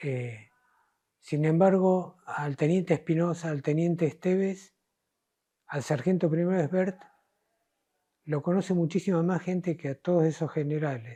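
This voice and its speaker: A man's high-pitched voice with a dark, mellow tone, fairly even intonation, a fairly slow pace and long, frequent pauses. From Argentina, Córdoba province. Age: 70s. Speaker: war veteran. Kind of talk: interview testimony. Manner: halting, with fillers.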